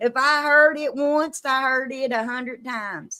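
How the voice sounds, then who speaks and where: Heard in a very clean recording with a silent background, a woman with a strong Kentucky accent speaks high and in a bright, sharp tone. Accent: Kentucky twang, strong Southern. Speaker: live-stream host, true crime storyteller. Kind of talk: casual chat. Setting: live stream.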